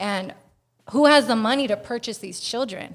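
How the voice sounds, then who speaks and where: An American-accented woman speaks in a normal speaking voice at a fairly high pitch. Her pace is moderate and her pitch varies in an ordinary way. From Northern California (Bay Area). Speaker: activist. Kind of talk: casual chat.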